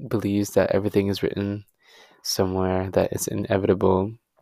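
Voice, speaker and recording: A man speaks in a fairly low voice with a dark, mellow tone. His pace is fairly quick. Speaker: podcast host. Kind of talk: solo personal monologue. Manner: flat, monotone delivery; halting.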